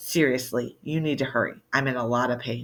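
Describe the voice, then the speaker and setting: The put-on character voice is raspy and strained. It moves at a fairly quick pace with monotone, flat intonation. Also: man, medium pitch for a man. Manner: strained, pained, urgent.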